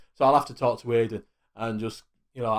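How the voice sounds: A man with a Yorkshire accent and a fairly low pitch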